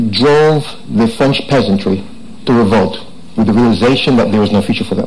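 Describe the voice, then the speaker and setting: At a fairly quick pace, a man speaks with very even loudness, with audible room echo and noticeable background noise. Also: medium pitch for a man, ordinary pitch variation. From Jamaica. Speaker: tech entrepreneur speaker. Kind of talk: conference talk. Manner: fast.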